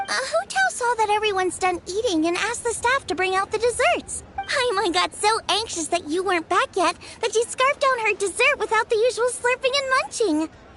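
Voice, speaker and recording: An extremely high, cartoonish character voice talks at a fairly quick pace. Clear background noise is present. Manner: bright, eager.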